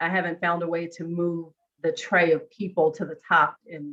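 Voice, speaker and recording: A woman talks at a moderate pace in a normal speaking voice. Her pitch sits fairly low. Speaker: co-facilitator. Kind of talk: online workshop discussion; casual chat.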